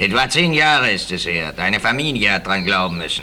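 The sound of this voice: With audible room echo, a man performs a put-on character voice at a low pitch, using a bright, sharp tone, lively intonation and a moderate pace.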